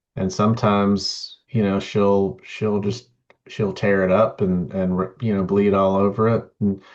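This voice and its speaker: A man speaks at a fairly low pitch with fairly even intonation. The background is quiet. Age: 50s. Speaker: podcast host and writer. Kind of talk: casual interview chat. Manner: halting, many repeated words.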